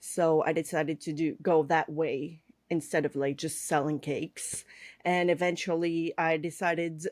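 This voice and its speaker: In a very clean recording with a silent background, a woman with a Quebec accent speaks at a fairly slow pace, with a fairly low pitch and monotone, flat intonation. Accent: French Canadian accent in English. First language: French. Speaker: cake artist and online instructor. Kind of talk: podcast interview. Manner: hesitant, many fillers.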